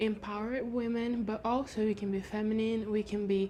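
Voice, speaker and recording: Speaking at a moderate pace in a Brazilian Portuguese accent, a woman has a fairly high pitch, a somewhat breathy, dark and mellow tone, and monotone, flat intonation. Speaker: lifestyle vlogger. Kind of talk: casual chat. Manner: halting.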